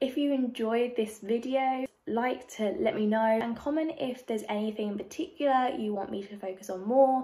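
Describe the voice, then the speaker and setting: Speaking in a London accent, a woman talks at a moderate pace with a fairly high pitch, ordinary pitch variation and hardly any pauses. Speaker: youtuber. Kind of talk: tutorial. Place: home room. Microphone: phone near.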